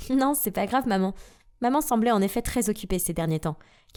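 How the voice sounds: Lively intonation rises and falls through a natural reading voice.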